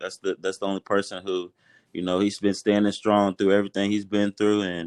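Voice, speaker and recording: Over a quiet background, a man with a fairly low pitch speaks at a fairly quick pace in a flat monotone, the sound dry and close with no echo. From Kentucky (Louisville, Shelbyville). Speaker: college football player. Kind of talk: interview.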